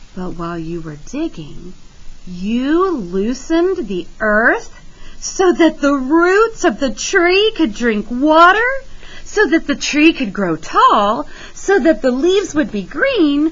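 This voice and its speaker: A woman uses a put-on character voice pitched high, with very wide pitch swings and big swings in loudness. She goes at a fairly slow pace over light background noise. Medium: read story.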